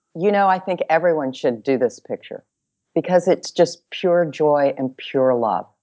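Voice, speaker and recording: In a Texan accent, a woman with very deep, low pitch and lively intonation speaks at a fairly slow pace. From Texas, Dallas. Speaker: bestselling sex and seduction author. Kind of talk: casual interview chat. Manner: animated.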